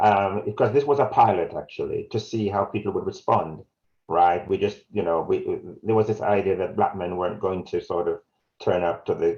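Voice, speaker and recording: A man is speaking with a Jamaican accent. His pace is moderate. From South Wales, born in Jamaica. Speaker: community health campaigner. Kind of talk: webinar presentation. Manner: halting.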